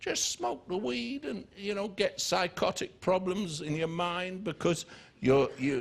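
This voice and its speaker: A man with a southern English accent, lively intonation and a fairly slow pace. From southern England, near Biggin Hill. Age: 60s. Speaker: preacher. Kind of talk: sermon. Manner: animated.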